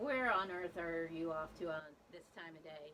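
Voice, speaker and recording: A female-sounding voice puts on a character voice at a fairly low pitch. The pace is moderate. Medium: read story.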